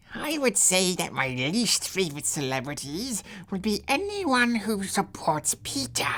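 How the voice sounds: This put-on character voice sounds female, sits at a middle pitch, and makes very wide pitch swings. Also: moderate pace.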